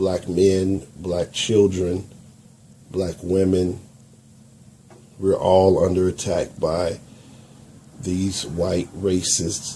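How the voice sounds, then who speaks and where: In an American accent, a man with a very deep, low pitch speaks monotonously at a very slow pace, leaving long, frequent pauses. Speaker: YouTube commentator. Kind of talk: video commentary.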